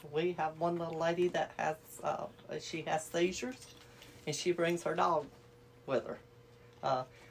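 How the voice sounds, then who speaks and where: Somewhat breathy, the voice comes with a Southern US accent at a moderate pace. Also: woman. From Alabama. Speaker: activity coordinator. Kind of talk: casual chat.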